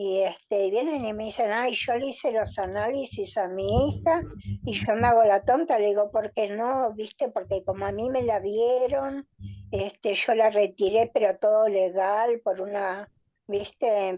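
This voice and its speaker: This woman has a dark, mellow tone and a fairly high pitch. She talks at a fairly slow pace with ordinary pitch variation. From Argentina, Buenos Aires area. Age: 70s. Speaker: relative of a disappeared person. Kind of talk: testimony.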